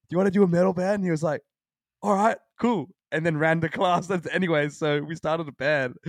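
Speaking at a fairly quick pace, a man with an Australian accent has a high pitch and ordinary pitch variation. The sound is dry and close, with no echo. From Australia, Sydney. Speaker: hardcore band frontman. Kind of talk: casual chat.

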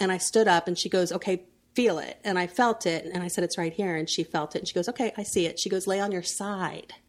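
A woman with an American accent at a very fast pace, medium in pitch, with fairly even intonation. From Central Florida. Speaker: entrepreneur, family expo founder. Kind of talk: casual interview chat.

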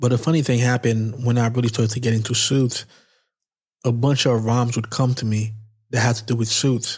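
Somewhat breathy, a man talks at a fairly quick pace and a medium pitch on a very clean recording with a silent background. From Haiti. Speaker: menswear YouTuber and podcaster. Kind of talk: solo podcast monologue, personal storytelling. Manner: casual, energetic.

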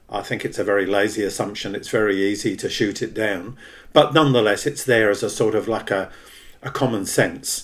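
This man with an Australian accent talks at a fairly quick pace in a fairly low pitch. His pitch varies an ordinary amount. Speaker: podcast host, socialist activist. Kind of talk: interview.

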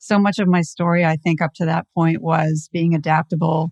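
A woman with fairly low pitch speaks at a moderate pace in a normal speaking voice. The sound is dry and close with no echo, over a quiet background. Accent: American. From Southern California. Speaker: automotive marketing executive. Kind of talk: interview.

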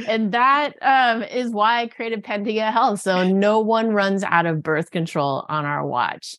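A woman with an unremarkable speaking voice and fairly high pitch talks fairly slowly with hardly any pauses and lively intonation, against a quiet background. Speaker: physician and birth control company founder. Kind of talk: interview.

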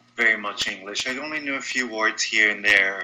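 This man has a Portuguese accent and a medium pitch. His pitch varies in an ordinary way. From Brazil, São Paulo. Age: 20s. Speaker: congenital heart defect survivor. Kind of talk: interview.

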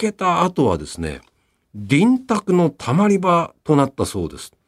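A man speaks in a relaxed tone at a fairly slow pace. The sound is dry and close, with no echo. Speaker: radio personality. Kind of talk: radio program narration. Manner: relaxed conversational.

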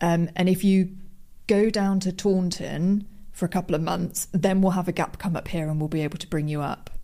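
Fairly quick and fairly even in intonation, a woman of medium pitch speaks in a dark, mellow tone on a very clean recording with a silent background. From English West Midlands, rural Worcestershire. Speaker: radio station editor. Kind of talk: interview.

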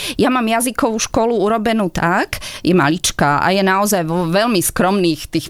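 Medium-pitched female voice over noticeable background noise. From Slovakia, Žilina. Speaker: German teacher. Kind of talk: radio interview.

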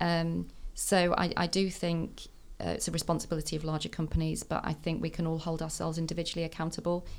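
A woman with a Mancunian accent, very fast, fairly low in pitch and monotone, flat in intonation. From Manchester, northern England. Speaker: tech senior manager. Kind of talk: casual chat. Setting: studio.

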